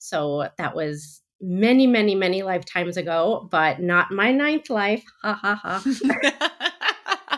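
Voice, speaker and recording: Very slowly and with hardly any pauses, a woman with a New Jersey accent speaks at a medium pitch with very wide pitch swings. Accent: American, New Jersey. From US Northeast, New Jersey. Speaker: wedding planner. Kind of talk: interview.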